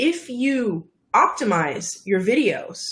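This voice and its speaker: Her voice, a woman's, moves through very wide pitch swings. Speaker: video marketing coach. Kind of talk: interview.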